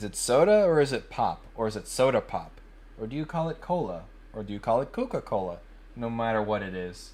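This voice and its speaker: A man speaks with an American accent. His pace is moderate and his pitch variation ordinary. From US Midwest (Indiana), later South Florida. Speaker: 3D modeling livestreamer. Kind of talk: casual live stream chat.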